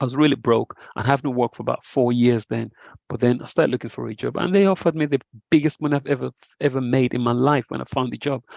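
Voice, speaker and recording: Very fast male speech over a quiet background. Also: medium pitch for a man, ordinary pitch variation. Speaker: trading educator. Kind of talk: online group trade review session.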